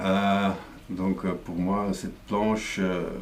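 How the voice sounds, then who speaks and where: Very slowly, a man speaks in a very deep, low pitch, with audible room echo around him. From Flanders, Belgium. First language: Dutch (speaking French). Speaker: comic book artist. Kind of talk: explanatory talk. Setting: studio. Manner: halting, many fillers and repetitions.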